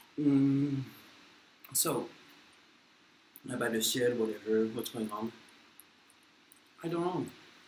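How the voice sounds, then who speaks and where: A man speaks at a medium pitch and a very slow pace, with ordinary pitch variation. Long, frequent pauses break his speech, and there is audible room echo. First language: French. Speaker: vlogger. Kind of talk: casual chat. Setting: eating on camera. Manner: halting.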